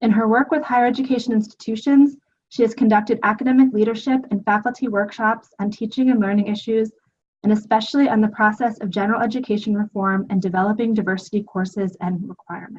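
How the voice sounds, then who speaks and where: Somewhat breathy, a woman talks at a very fast pace in a fairly high pitch with fairly even intonation. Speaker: webinar moderator. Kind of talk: webinar introduction.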